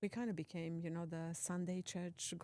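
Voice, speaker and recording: A woman speaks at a fairly slow pace with a non-native accent, her fairly low voice carrying a dark, mellow tone and fairly even intonation. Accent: foreign. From Transylvania, Romania. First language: Hungarian. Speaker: productivity coach. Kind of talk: casual chat. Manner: hesitant, with filler words.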